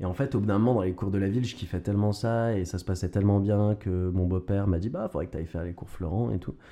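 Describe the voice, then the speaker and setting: Speaking very fast with hardly any pauses, a man uses a fairly low pitch, fairly even intonation and a dark, mellow tone. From Quebec, Montreal until about 6, then France. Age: young. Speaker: actor and stage director. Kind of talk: interview. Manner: hesitant, repeats words.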